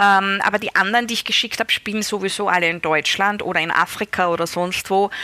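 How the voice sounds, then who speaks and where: At a moderate pace, a woman speaks with fairly even intonation and medium pitch. Her tone is bright and sharp. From Austria, Styria. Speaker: novelist. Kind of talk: interview.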